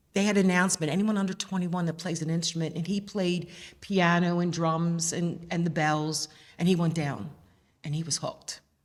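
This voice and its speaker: Fairly low in pitch, a woman speaks at a fairly quick pace with a Philadelphia accent. Her intonation is monotone and flat. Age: 60s. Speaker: mother of a band captain. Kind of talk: interview. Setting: museum.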